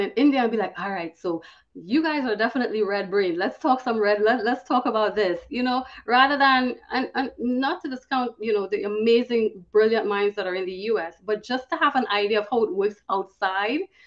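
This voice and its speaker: A woman with a Trinidadian accent, fairly high-pitched, talking at a fairly quick pace with hardly any pauses and ordinary pitch variation. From Trinidad and Tobago. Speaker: cybersecurity professional. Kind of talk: podcast interview. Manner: fast.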